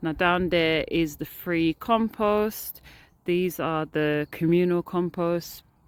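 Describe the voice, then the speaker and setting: A woman speaks with a fairly low-pitched voice. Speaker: allotment gardener vlogger. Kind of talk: casual walk-through vlog. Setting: outdoors.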